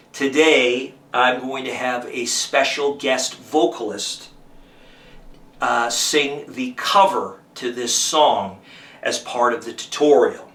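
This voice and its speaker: Over noticeable background noise, a man talks very slowly at a medium pitch, with ordinary pitch variation and big swings in loudness. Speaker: guitar teacher and musician. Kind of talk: tutorial.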